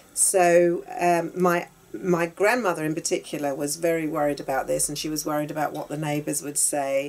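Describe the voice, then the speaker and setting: A woman's very deep, low voice with a London accent, at a moderate pace with hardly any pauses and fairly even intonation. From South London (Battersea), England. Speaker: interviewee sharing life story. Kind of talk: personal testimony in conversation. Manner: halting, with many fillers.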